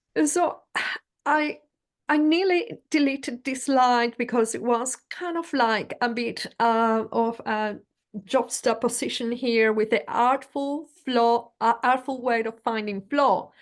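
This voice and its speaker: A woman with a Spanish accent, high pitch and ordinary pitch variation, at a very slow pace over a quiet background. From Venezuela. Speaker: leadership coach. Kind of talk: presentation in interview.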